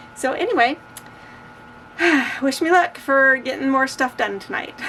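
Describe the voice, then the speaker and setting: This woman talks at a fairly quick pace with lively intonation. Noticeable background noise can be heard. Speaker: crochet vlogger and market vendor. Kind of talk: casual vlog. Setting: garage.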